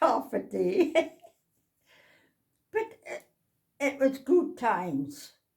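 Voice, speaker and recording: A woman speaks very slowly in a North East Scottish accent. She leaves long, frequent pauses. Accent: North East Scottish, Doric. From North East Scotland. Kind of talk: interview answer.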